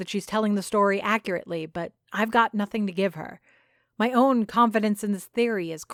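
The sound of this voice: Pitch varies in an ordinary way. The reading voice is unforced, and all around it is quiet.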